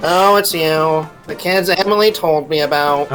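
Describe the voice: A put-on character voice at a middle pitch and moderate pace, with clear music in the background.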